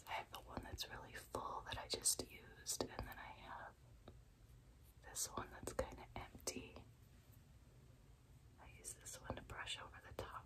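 A woman whispers with long, frequent pauses and big swings in loudness. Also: fairly slow pace. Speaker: ASMR creator. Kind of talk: ASMR get-ready-with-me, chatty casual talk to camera. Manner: chatty, laid back, rambling. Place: home room. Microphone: phone near.

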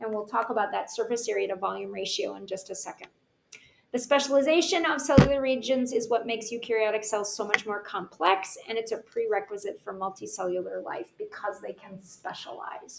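Her loudness swinging widely, a woman speaks at a fairly quick pace over light background noise. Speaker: teacher. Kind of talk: lecture. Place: home room. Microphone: webcam.

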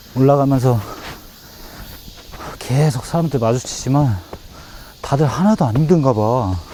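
Noticeable background noise sits behind a man speaking at a medium pitch and a fairly slow pace. His intonation is lively, with long, frequent pauses. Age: 40s. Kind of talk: casual vlog talk to camera.

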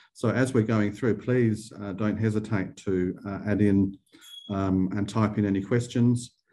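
Monotone, flat intonation from a man at a fairly slow pace, very even loudness and a quiet background. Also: fairly low pitch for a man. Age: 50s. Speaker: arts funding director and webinar host; webinar host. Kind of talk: webinar Q&A. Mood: friendly, welcoming. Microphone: video call.

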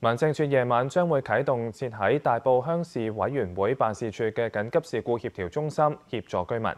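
The speech moves at a moderate pace with hardly any pauses and ordinary pitch variation. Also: man. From Hong Kong. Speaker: news anchor. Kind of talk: news reading. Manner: formal. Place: studio. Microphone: lapel.

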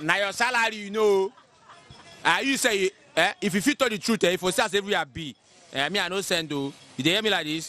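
A man projects a raised voice in a dry sound with no echo. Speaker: interviewee. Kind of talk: interview answer. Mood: complaining, frustrated about economy. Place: street. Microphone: handheld.

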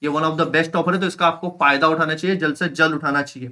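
Against a quiet background, a man with a high pitch talks at a moderate pace in a bright, sharp tone. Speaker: online school teacher; online teacher. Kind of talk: live online lecture; sales pitch. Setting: live stream. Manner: animated.

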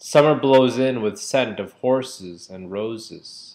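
A man talks at a very slow pace, his pitch varying in an ordinary way. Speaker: poetry reader. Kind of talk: poetry reading. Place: home room. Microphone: webcam.

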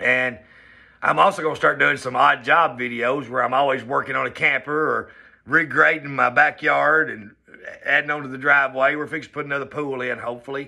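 With a Southern US accent, a man talks at a fairly quick pace in a fairly high pitch, his bright, sharp tone carrying vocal fry over a quiet background. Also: fairly even intonation. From US South. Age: 40s. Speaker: vlogger. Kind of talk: personal vlog monologue. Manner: casual, conversational. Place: home room. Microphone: phone near.

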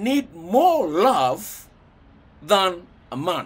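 His pitch swings very wide as the man talks. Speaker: speaker. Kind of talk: casual advice talk to camera. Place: home room. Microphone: phone near.

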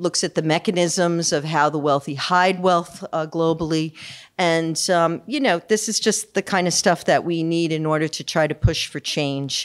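Against a quiet background, a woman with an ordinary speaking voice talks at a moderate pace and a fairly low pitch, her intonation fairly even. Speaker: event host introducing speaker. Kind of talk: speaker introduction. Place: hall. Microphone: podium.

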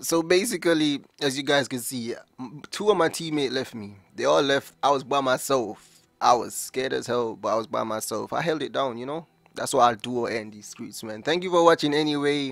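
A man's fairly high voice at a moderate pace, with ordinary pitch variation, big swings in loudness, a dry sound with no echo and faint music in the background. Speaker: gaming YouTuber. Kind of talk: live gameplay commentary. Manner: animated, excitable. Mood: relaxed, joking. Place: home room. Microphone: headset.

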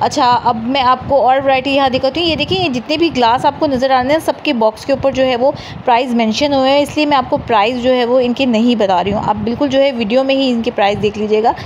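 A woman's high-pitched voice at a fairly quick pace, very even in loudness, over light background noise. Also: ordinary pitch variation. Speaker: vlogger. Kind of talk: shopping vlog walkthrough. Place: shop. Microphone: phone near.

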